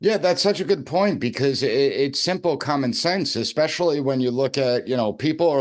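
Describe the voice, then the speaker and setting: Against a quiet background, a man with an unremarkable speaking voice talks at a fairly quick pace. His intonation is lively. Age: younger than 62. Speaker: podcast host and professor. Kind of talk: interview podcast.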